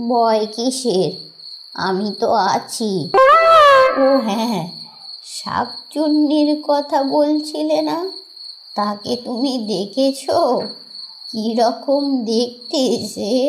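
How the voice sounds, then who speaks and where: A female-sounding cartoonish character voice, high in pitch, moves at a very slow pace over clear background noise. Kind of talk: horror cartoon villain. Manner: sly, menacing.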